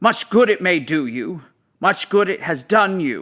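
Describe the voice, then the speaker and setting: A man puts on a gruff character voice, high in pitch with very wide pitch swings. He speaks at a moderate pace. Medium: read story. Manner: gruff, scornful.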